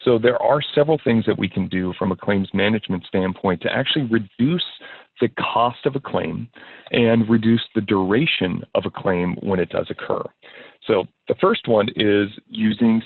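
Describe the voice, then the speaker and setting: This man's voice sits at a medium pitch. His pitch varies in an ordinary way. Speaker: insurance consultant. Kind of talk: webinar presentation. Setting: online webinar. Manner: fast.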